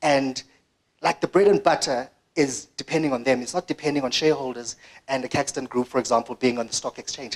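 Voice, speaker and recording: At a very fast pace, the voice comes through dry and close with no echo. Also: man, medium pitch for a man, ordinary pitch variation. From South Africa, Eastern Cape (Graaff-Reinet). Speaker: media digital director. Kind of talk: conference presentation. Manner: animated.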